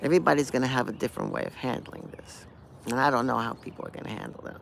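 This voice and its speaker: Very fast speech from a man at medium pitch, fairly even intonation and big swings in loudness, over noticeable background noise. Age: 60s. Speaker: punk guitarist. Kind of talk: casual talk to camera. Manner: rambling, hesitant.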